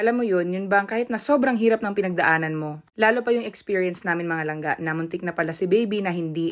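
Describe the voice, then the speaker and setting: In a plain, everyday voice, a woman speaks at a fairly quick pace and medium pitch with ordinary pitch variation. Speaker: vlogger and new mother. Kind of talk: vlog narration.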